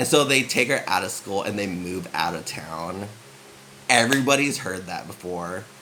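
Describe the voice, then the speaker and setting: With noticeable background noise and audible room echo, a man speaks at a moderate pace using lively intonation. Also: fairly low pitch for a man. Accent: West Coast US. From San Francisco, US. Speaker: vlogger. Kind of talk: casual chat. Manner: subdued.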